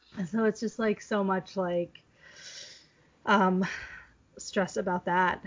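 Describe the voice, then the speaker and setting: A woman at a very slow pace, medium in pitch, with fairly even intonation and long, frequent pauses. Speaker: podcast host. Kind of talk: casual chat.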